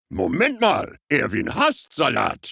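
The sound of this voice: A cartoonish character voice at a very slow pace. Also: man, high pitch for a man.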